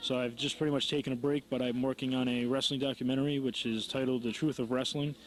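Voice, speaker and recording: A man with an American accent speaks at a fairly quick pace in a normal speaking voice, his medium pitch held to fairly even intonation. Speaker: wrestling promoter and ring announcer. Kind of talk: interview answer. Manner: casual, conversational.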